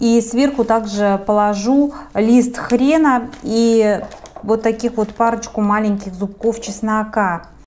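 With a fairly high pitch, a woman speaks at a very slow pace, her intonation fairly even and her loudness very even. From Siberia, Russia. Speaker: cooking video host. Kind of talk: cooking tutorial. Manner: warm, friendly address to viewers.

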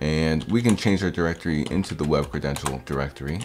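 A man speaks at a fairly slow pace in a very deep, low voice. Faint music plays behind him. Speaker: hacking tutorial host. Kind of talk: tutorial. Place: home room.

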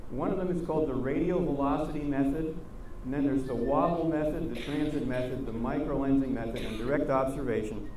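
A man talks at a fairly quick pace, with light background noise and audible room echo. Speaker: guest lecturer. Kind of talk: lecture. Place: stage.

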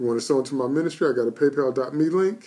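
Dark and mellow in tone, a man's voice moves with ordinary pitch variation. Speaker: preacher. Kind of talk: sermon and prayer on a live stream. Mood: earnest, prayerful. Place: home room. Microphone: phone near.

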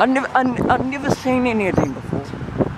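Amid noticeable background noise and audible room echo, a man is speaking. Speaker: vlogger. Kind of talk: casual vlog monologue. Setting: outdoors, walking. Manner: rambling, halting.

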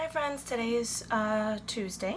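Light noise behind a woman talking. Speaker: home lifestyle vlogger. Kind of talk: casual vlog chat. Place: home room. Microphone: phone near.

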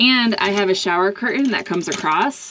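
A woman at a moderate pace, ordinary pitch variation, light background noise behind her. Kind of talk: tutorial. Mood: friendly, upbeat. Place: bathroom. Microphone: phone near.

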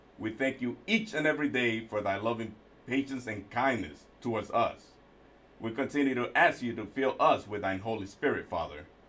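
A man's voice sits at a medium pitch, moving at a moderate speed with typical variation in pitch. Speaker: prayer leader. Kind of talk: prayer. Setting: livestream. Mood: reverent, solemn. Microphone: video call.

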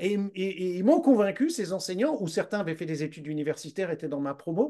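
The man's tone is dark and mellow, yet his pitch is high. His intonation is lively. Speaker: Brain Gym instructor. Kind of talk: interview questions.

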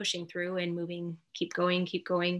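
In a quiet background, a woman speaks at a moderate pace with a bright, sharp tone. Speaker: mindfulness coach. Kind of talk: guided meditation. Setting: video call. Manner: soft-spoken. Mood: calm, soothing. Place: home room. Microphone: webcam.

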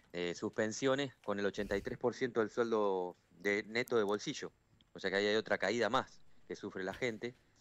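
With an ordinary speaking voice, a man talks at a fairly low pitch with fairly even intonation, the sound dry with no echo. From Argentina, Villa Constitución (Santa Fe); Santa Fe, Argentina. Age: 40s. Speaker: trade union leader, steelworker. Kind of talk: phone interview on radio. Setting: phone call. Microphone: phone line.

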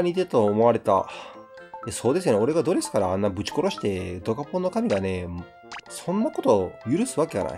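Music plays behind a man speaking with a Kansai accent. His pitch swings very widely. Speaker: game streamer. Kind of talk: let's play commentary. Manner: casual, chatty.

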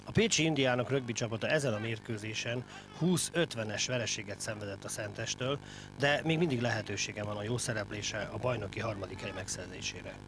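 A man's medium-pitched voice, with ordinary pitch variation, moves at a fairly quick pace against noticeable background noise. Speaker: TV sports reporter. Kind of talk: news report and interview.

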